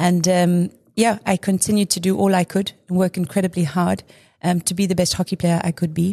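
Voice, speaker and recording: A woman speaks fairly quickly in a fairly low, dark, mellow voice that is somewhat breathy, with monotone, flat intonation. The sound is dry and close with no echo, over a quiet background. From South Africa, Durban. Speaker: former national hockey player and sports brand executive. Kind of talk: casual interview.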